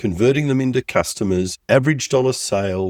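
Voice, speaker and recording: A man speaks in an Australian accent at a moderate pace with ordinary pitch variation. The sound is dry and close, with no echo. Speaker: business coach. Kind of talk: podcast tutorial.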